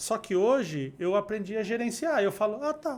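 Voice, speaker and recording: A man talks with lively intonation in a Rio de Janeiro accent. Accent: fluminense Brazilian Portuguese. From Rio de Janeiro state, Brazil. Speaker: neurocommunication instructor and speaker. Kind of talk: podcast interview, casual chat.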